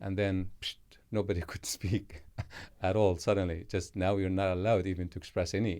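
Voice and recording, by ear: On a very clean recording with a silent background, a man speaks at a low pitch and a moderate pace, with a slightly mellow tone and little pitch movement.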